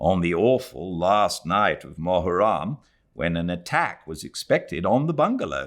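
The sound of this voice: A man speaks with a low pitch at a fairly slow pace. His voice makes big pitch swings.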